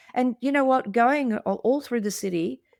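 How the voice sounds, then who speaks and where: A woman talks at a fairly quick pace in an Australian accent. The sound is dry and close, with no echo. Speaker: podcast co-host, art deco expert. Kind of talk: casual chat. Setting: video call. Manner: halting with repeated words.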